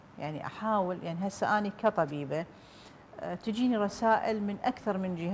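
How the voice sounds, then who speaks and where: A woman speaks in an Iraqi accent with ordinary pitch variation over light background noise. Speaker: doctor, public health official; guest. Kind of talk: TV interview. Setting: studio. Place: studio.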